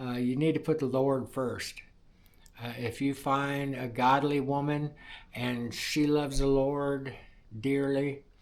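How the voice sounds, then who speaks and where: A man's fairly high, monotone voice with flat intonation at a very slow pace. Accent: American. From US Midwest, Indiana. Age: 60s. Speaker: welder sharing personal testimony. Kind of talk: testimony. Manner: halting, many fillers.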